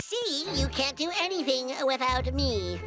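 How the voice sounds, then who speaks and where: A cartoonish character voice goes at a fairly slow pace over loud background noise. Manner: cocky, wisecracking.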